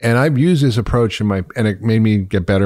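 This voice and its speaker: On a very clean recording with a silent background, a man with an American accent talks in an ordinary speaking voice, fairly low in pitch, with ordinary pitch variation. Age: 50s. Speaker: podcast host and physician. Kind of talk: interview.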